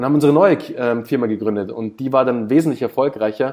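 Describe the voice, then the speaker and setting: A man speaks at a fairly quick pace in an ordinary speaking voice. His pitch sits in the medium range, with ordinary pitch variation. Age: 30s. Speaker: startup founder and business consultant. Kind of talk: casual interview. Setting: video call.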